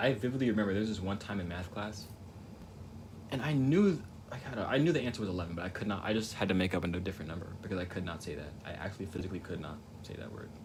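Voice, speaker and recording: Very fast speech from a man with a fairly low pitch and ordinary pitch variation, plus audible room echo. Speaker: painting livestreamer. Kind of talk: casual chat. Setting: livestream. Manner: halting.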